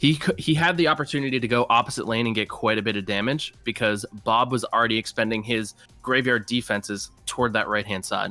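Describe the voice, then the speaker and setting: Over music in the background, a speaker with an American accent talks at a very fast pace. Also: man, medium pitch for a man, ordinary pitch variation. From Massachusetts. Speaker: esports caster and team manager. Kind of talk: live commentary.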